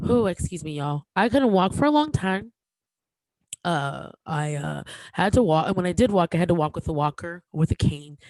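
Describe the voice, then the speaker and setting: Speaking at a moderate pace, a woman with a fairly low pitch uses lively intonation in a dry, close sound with no echo, on a very clean recording with a silent background. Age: 30s. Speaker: comedian and podcast host. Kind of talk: casual podcast monologue. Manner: halting.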